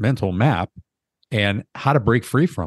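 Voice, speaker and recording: A man in a normal speaking voice, lively intonation and moderate pace, with a quiet background and a dry, close sound with no echo. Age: 60s. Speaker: podcast host. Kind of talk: interview.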